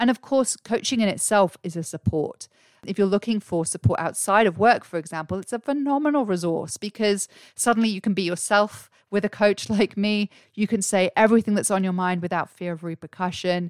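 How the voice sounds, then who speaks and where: A woman's voice with an English accent in dry, close sound with no echo. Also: medium pitch for a woman, ordinary pitch variation, fairly quick pace, very clean recording, silent background. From England. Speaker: career coach and podcast host. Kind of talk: solo podcast monologue. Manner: animated.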